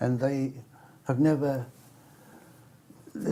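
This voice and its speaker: With an English accent, a man talks at a fairly slow pace. His tone is dark and mellow, and somewhat breathy. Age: 70s. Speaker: cartoonist. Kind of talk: interview.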